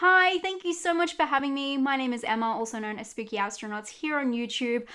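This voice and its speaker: Speaking at a very fast pace, a woman has an Australian accent. Her tone is bright and sharp, and her intonation is lively. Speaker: horror YouTuber. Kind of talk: movie recommendations.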